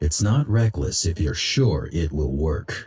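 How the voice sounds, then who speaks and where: A man growls in a put-on character voice, pitched very deep and low. He talks at a fairly slow pace. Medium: video game. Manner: terse, calm.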